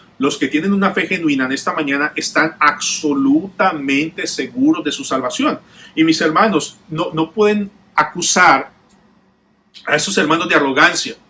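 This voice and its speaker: A man speaks at a moderate pace in an ordinary speaking voice. His pitch is fairly high and varies in an ordinary way. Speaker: pastor. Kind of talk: sermon.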